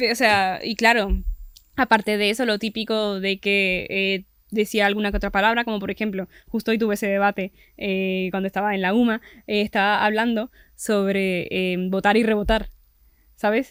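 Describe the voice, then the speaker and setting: A woman at medium pitch, monotone and flat, moderate pace, very clean recording with a silent background, dry and close with no echo. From Venezuela. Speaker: podcast guest. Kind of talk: casual chat.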